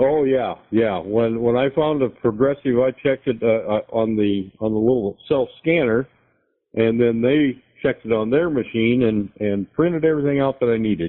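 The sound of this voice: Speaking at a moderate pace, a man uses a medium pitch with ordinary pitch variation.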